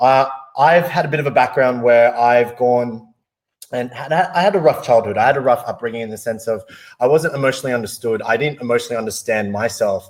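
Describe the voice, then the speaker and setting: Speaking at a very fast pace, a man with an Australian accent uses a medium pitch. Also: ordinary pitch variation. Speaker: wellness device presenter. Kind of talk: personal story in a webinar.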